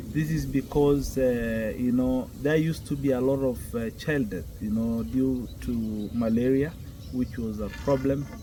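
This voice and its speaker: Speaking very slowly with a Kenyan accent, a man is heard over noticeable background noise. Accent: Kenyan Maasai. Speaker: Maasai elder. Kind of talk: interview answer.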